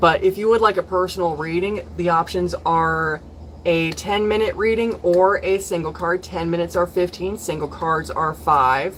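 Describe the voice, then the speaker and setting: A woman speaks at a moderate pace in a plain, everyday voice. Her pitch is fairly low and her intonation fairly even. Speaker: tarot reader. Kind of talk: live stream tarot reading session. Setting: live stream from home.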